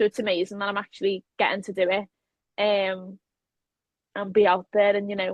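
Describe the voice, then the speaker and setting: A woman speaks with a Liverpool accent at a fairly quick pace, using a monotone, flat intonation. Her speech is broken by long, frequent pauses. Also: medium pitch for a woman. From Liverpool, England. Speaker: professional wrestler. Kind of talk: interview. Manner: casual, hesitant with many fillers.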